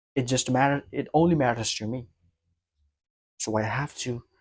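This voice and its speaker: A man talks at a very slow pace, keeping a fairly even intonation. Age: 20s. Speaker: vlogger practicing public speaking. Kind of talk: solo monologue to camera. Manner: repetitive, halting with restarts.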